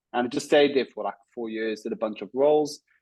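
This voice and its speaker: Speaking with a South African accent, a man talks at a medium pitch. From South Africa, Cape Town; raised in Israel from age five. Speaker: startup founder and CEO. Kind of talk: podcast interview. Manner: many filler words (um, uh).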